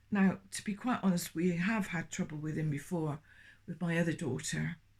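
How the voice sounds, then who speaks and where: Somewhat breathy, a woman talks at a moderate pace with a fairly low pitch. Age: 70s. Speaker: former Jehovah's Witness sharing experiences. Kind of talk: personal testimony. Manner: halting, many hesitations and restarts.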